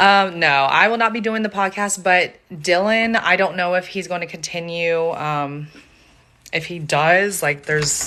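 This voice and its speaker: Speaking fairly slowly with an American accent, a woman has a fairly low pitch and a bright, sharp tone. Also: ordinary pitch variation. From US South, Charleston, South Carolina. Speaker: true crime content creator. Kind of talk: casual livestream chat. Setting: live stream from home on iPad.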